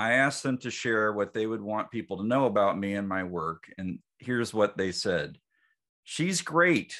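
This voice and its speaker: A man's bright, sharp voice at medium pitch, fairly slow in pace, against a quiet background. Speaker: podcast host, psychologist. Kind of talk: interview conversation.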